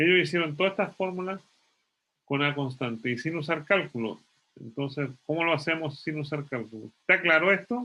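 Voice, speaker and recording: The voice is bright and sharp, moving at a fairly quick pace with lively intonation. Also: man, fairly high pitch for a man. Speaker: physics professor. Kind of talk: lecture. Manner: fast.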